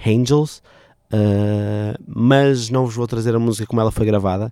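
A man with a European Portuguese accent speaks in a fairly low pitch with a dark, mellow tone and ordinary pitch variation. The recording is very clean and the background silent. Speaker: radio host. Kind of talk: casual radio show presenting. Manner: hesitant, many fillers; playful, animated.

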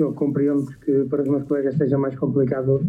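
Music plays in the background. A man with a fairly high pitch talks very fast. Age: 20s. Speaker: office worker and university student. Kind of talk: interview testimony. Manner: halting.

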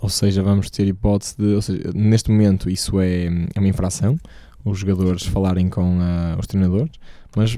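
With a European Portuguese accent, a man speaks in a dark, mellow tone at a fairly low pitch and moderate pace, with ordinary pitch variation. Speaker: tennis podcast host. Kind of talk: casual chat.

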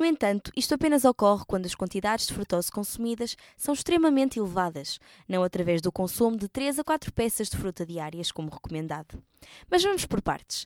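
A woman at medium pitch with very wide pitch swings and a fairly quick pace, in a dry, close sound with no echo. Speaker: nutrition presenter. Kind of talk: scripted narration.

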